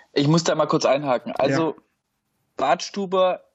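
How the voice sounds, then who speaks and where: With a normal speaking voice, a man talks at a moderate pace, his fairly high pitch held in fairly even intonation. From Stuttgart area, Swabia (Germany). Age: 30s. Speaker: football fan, podcast guest. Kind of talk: casual chat.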